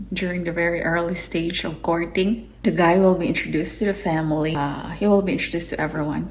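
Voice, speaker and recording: A woman with a fairly low pitch talks very fast, with hardly any pauses. Her intonation is fairly even, and audible room echo surrounds her. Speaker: YouTuber. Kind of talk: casual explainer video. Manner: hesitant, many fillers.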